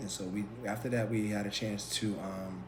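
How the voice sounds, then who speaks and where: A man with an American accent speaks at a moderate pace in a fairly low pitch, with ordinary pitch variation. Noticeable background noise and audible room echo are present. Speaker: podcast co-host. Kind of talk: casual chat. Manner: halting, many fillers.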